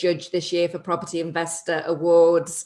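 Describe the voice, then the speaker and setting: A woman talks at a very fast pace with a fairly low pitch. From northern England, between Liverpool and Manchester. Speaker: property investor and TV personality. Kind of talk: podcast interview.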